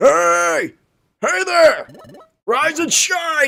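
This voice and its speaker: A man's loud, shrill, put-on character voice at an extremely high pitch. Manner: cheerful, very loud.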